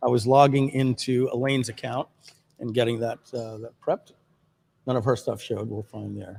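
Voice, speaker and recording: An ordinary speaking voice from a man with an American accent, medium-pitched and moderately paced, fairly even in intonation but with big swings in loudness. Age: 50s. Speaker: livestream host, marketer. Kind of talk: casual livestream chat. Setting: video livestream.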